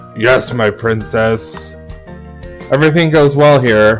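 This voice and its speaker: A man does a gruff, put-on character voice at medium pitch. He speaks at a fairly slow pace with clear music in the background. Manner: dutiful, respectful.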